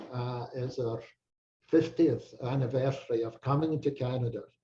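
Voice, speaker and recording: A man with a strong Scottish accent speaks at a fairly slow pace in a medium-pitched, somewhat breathy voice with a dark, mellow tone. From Scotland, Peebles. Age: 80s+. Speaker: retired doctor, Burns enthusiast. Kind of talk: casual interview chat. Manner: halting, repeats words.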